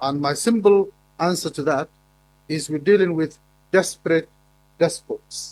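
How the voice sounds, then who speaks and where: Speaking with a Somali accent at a fairly slow pace, the voice shows ordinary pitch variation and long, frequent pauses. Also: man, fairly high pitch for a man. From Somaliland, northern Somalia. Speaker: academic conference speaker. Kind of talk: conference presentation. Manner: halting, with repetitions.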